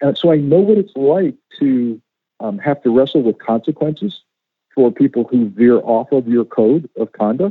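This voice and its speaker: A man with an American accent, a normal speaking voice, a fairly high pitch and lively intonation. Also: moderate pace. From US Northeast, western Connecticut. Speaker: former FBI agent and author. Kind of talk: interview.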